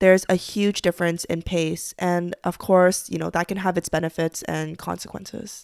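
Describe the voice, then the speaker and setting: Flat, monotone intonation and hardly any pauses mark this moderate-paced speech on a very clean recording with a silent background. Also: woman, fairly low pitch for a woman. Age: 20s. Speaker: podcast host. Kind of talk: scripted monologue.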